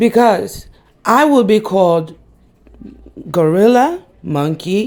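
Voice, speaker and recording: A woman talks very slowly, her voice sitting at a medium pitch. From New York, the Bronx. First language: Spanish. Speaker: YouTuber. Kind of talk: opinion vlog.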